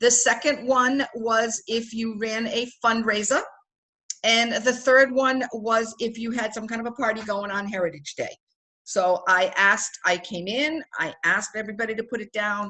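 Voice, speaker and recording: A woman's bright, sharp tone, fairly high in pitch, with ordinary pitch variation and a moderate pace. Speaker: direct sales team director. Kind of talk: online team training meeting. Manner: upbeat, enthusiastic.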